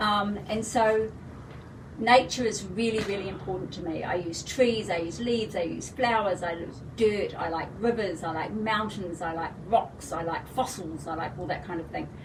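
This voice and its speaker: A woman's medium-pitched voice in a New Zealand accent, with audible room echo and noticeable background noise. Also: ordinary pitch variation, moderate pace. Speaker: fashion designer. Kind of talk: live product presentation. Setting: livestream video.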